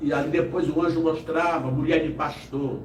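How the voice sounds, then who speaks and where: A man at a very slow pace, with audible room echo. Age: 60s. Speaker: evangelist. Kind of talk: testimony. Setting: live podcast studio.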